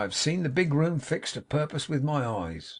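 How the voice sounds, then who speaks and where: A man puts on a raspy character voice in an American accent, pitched fairly high and delivered at a moderate pace. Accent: American colloquial speech. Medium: read story. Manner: cool, laconic.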